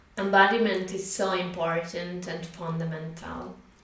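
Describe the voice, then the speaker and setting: With noticeable background noise, a woman with a non-native accent speaks at a very slow pace in a fairly low pitch and monotone, flat intonation. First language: not English. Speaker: spiritual teacher. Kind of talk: casual talk to camera. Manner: hesitant, with filler sounds.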